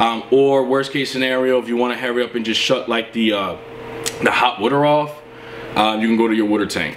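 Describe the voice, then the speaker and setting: A man talks at a fairly quick pace while light background noise sits underneath. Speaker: contractor. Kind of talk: tutorial. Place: home room.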